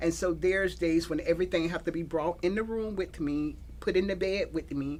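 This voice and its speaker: A woman's fairly low pitch with vocal fry, ordinary pitch variation and a moderate pace. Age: 60s. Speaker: guest sharing illness story. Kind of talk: interview testimony. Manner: halting.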